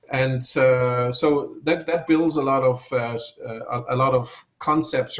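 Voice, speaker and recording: A somewhat breathy man speaks at medium pitch with fairly even intonation. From Ireland. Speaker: supply chain expert. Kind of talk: interview.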